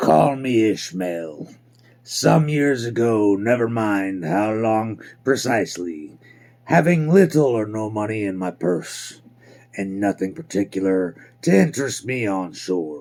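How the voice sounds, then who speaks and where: This man has a fairly low pitch. He speaks at a fairly slow pace. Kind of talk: classic audiobook reading. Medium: read story. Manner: measured, reflective.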